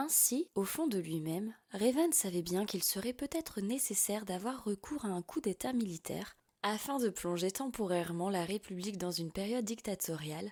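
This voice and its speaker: A woman with an ordinary speaking voice talks at a moderate pace and medium pitch, her intonation lively and with hardly any pauses. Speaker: voice-over narrator. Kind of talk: audiobook fiction narration.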